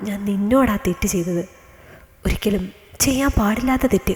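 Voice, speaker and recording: A woman uses a shaky put-on character voice at medium pitch and a moderate pace. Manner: guilty, confessing.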